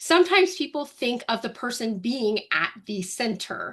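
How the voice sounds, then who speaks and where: This woman sounds animated, her voice pitched fairly high. Her intonation is lively. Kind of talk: webinar presentation.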